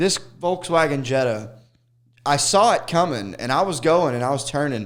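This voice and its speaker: Animated in tone, a man speaks with lively intonation. His pitch is fairly high and his pace moderate. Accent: Southern. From Arkansas. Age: 30s. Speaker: stand-up comedian. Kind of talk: casual chat.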